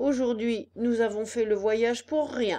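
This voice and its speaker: A woman's put-on character voice at a fairly high pitch and a fairly slow pace. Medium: read story. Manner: grim, matter-of-fact.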